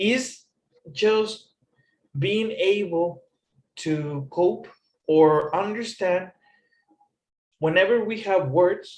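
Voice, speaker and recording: Very slow and broken by long, frequent pauses, a man speaks in a high pitch. He has a non-native accent. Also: ordinary pitch variation. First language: not English. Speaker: English teacher. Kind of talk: tutorial.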